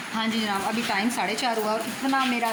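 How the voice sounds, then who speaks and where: Amid noticeable background noise and audible room echo, a woman talks at a moderate pace with a fairly high pitch. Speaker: family vlogger. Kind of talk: casual vlog chat.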